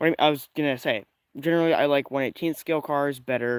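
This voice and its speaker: A man speaks quietly at a medium pitch with fairly even intonation. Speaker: RC car hobbyist streamer. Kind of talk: casual live stream talk. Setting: outdoors in the woods. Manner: quiet, keeping voice down.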